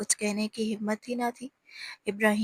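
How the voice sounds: Behind the voice, everything is quiet. It is a natural reading voice.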